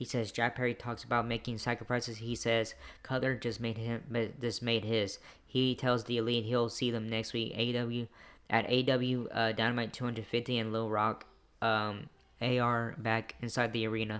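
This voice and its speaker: A man at medium pitch, monotone and flat in intonation, at a moderate pace. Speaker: wrestling show reviewer. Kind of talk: show recap review. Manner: halting, many fillers; loud.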